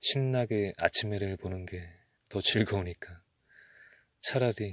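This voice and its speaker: A very clean recording with a silent background, carrying a man's fairly low-pitched voice. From Korea. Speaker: ASMR creator. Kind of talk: ASMR talk to listener. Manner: soft-spoken.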